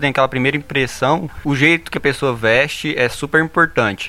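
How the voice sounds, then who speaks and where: A man with a normal speaking voice talks fairly quickly at a fairly high pitch, keeping his intonation fairly even. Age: 20s. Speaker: engineering student. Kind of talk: casual chat.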